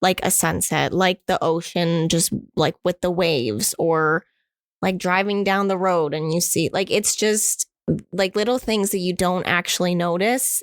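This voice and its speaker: A woman with a normal speaking voice, medium pitch and ordinary pitch variation at a fairly slow pace, in a dry, close sound with no echo. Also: very even loudness. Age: 20s. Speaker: artist. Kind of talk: interview answer. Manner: casual.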